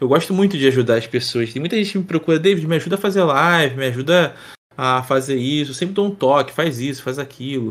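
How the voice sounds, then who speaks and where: Speech races by at a very fast pace. The recording is very clean with a silent background. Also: man, fairly high pitch for a man, ordinary pitch variation. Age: 30s. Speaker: streamer and presenter, former sports journalist. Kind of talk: casual interview chat.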